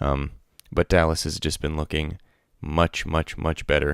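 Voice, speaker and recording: A quiet man's very deep, low voice at a fairly slow pace, dry and close with no echo, on a very clean recording with a silent background. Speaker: esports podcast host. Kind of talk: casual solo podcast commentary. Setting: at home, late at night. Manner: speaking quietly; hesitant, many fillers.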